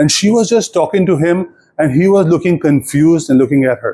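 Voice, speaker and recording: Dark and mellow in tone, a man's high-pitched voice comes with an Indian accent. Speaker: storyteller.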